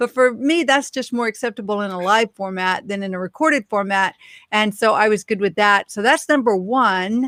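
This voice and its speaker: A fairly high-pitched woman at a moderate pace with ordinary pitch variation, dry and close with no echo, on a very clean recording with a silent background. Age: 50s. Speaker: business video expert. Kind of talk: casual live stream chat. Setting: live stream. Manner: some stumbles.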